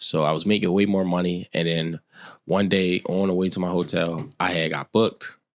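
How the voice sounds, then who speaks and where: A man's very deep, low voice at a moderate pace, with fairly even intonation, dry and close with no echo, on a very clean recording with a silent background. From Baltimore, US. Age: 20s. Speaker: credit repair consultant. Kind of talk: casual podcast interview.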